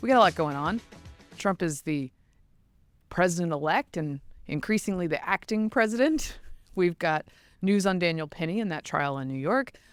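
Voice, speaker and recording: Over background music, a woman with a fairly low voice speaks at a moderate pace with lively intonation. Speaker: podcast host. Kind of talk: podcast conversation.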